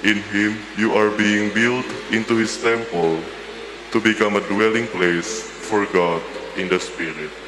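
A man with a fairly low voice speaks at a fairly slow pace, his intonation fairly even, over noticeable background noise. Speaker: lector reading scripture and prayers. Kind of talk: scripture reading aloud. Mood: calm, solemn. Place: church. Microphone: podium.

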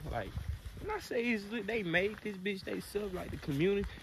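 The recording is dry with no echo but has noticeable background noise, and a man speaks at a fairly slow pace. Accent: American. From Alabama, US South (Mobile area); Alabama. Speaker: vlogger. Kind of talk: casual vlog chat. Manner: animated. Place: open country. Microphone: phone near.

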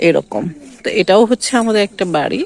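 Recorded with a dry, close sound and no echo, a woman speaks with ordinary pitch variation. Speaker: vlogger. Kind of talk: casual vlog narration. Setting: outdoors in a village. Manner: halting.

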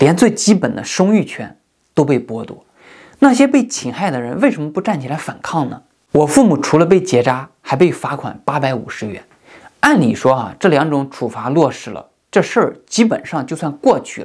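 Against a quiet background, a man speaks at a moderate pace with a fairly high pitch. His pitch swings very widely and his loudness rises and falls sharply. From mainland China, rural. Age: 30s. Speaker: YouTuber. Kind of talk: monologue commentary. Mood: earnest, critical. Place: home room.

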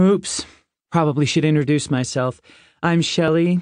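A man speaks at a moderate pace in a plain, everyday voice, his pitch fairly high and his intonation fairly even. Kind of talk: audiobook narration, first-person teen character voiced. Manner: expressive, conversational, voices multiple characters.

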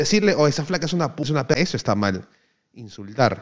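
A man speaks with a fairly high pitch and an animated tone. His pace is fairly quick. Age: 20s. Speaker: streamer, former pro gamer. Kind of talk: casual chat.

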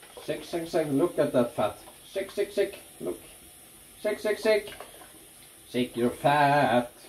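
Light background noise runs under the recording. A man speaks over it with lively intonation. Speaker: YouTuber demonstrating shaving. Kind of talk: tutorial. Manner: casual, halting with fillers. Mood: relaxed, playful. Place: bathroom. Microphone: camera far.

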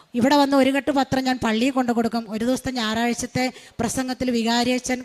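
Fairly even intonation from a woman pitched high. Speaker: retired teacher. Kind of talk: religious testimony. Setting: church altar.

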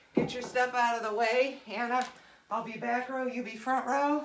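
A woman speaks at a fairly slow pace in a high pitch. Noticeable background noise is present. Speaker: fitness instructor. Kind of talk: workout class instruction. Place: gym.

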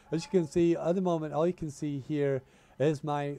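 A man's voice with fairly high pitch and a dark, mellow tone.

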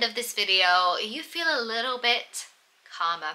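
A woman speaks in an upbeat tone. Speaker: EFT practitioner and life coach. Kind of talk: guided EFT tapping meditation. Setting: video, solo. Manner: friendly, upbeat, casual. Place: home room.

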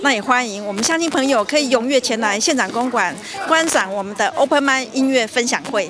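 This woman speaks at a fairly high pitch and a fairly quick pace, with lively intonation. Background noise is clearly audible.

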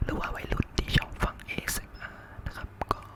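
A man whispering against noticeable background noise. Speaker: ASMR content creator. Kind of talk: casual talk to camera. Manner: whispered.

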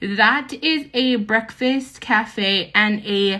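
A woman's bright, sharp voice with ordinary pitch variation against a quiet background. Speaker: travel vlogger. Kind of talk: casual vlog chat. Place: hall. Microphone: phone near.

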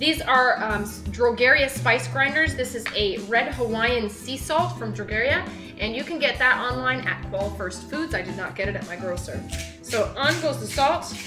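Clear music plays in the background. The talking goes at a moderate pace. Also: woman. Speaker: web cooking host. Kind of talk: cooking tutorial. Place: kitchen. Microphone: camera far.

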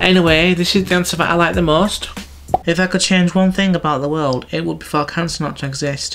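The man's delivery is very fast. Clear music can be heard behind him. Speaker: video blogger. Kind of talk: casual vlog chat. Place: home room.

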